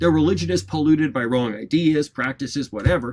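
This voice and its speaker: A man with an American accent, lively intonation and a moderate pace. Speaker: college lecturer. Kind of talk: lecture. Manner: frequent fillers and hesitations.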